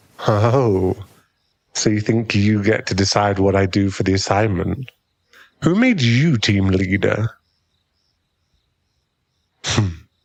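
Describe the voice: Putting on a character voice, a man speaks slowly at a fairly low pitch with vocal fry and ordinary pitch variation. He takes long, frequent pauses.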